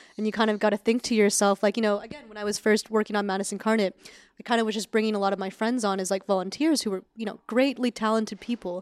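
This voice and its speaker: A woman with an American accent talks at a very fast pace with fairly even intonation. The sound is dry and close, with no echo. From Northern California, Sacramento. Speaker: film director and writer. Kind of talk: casual interview.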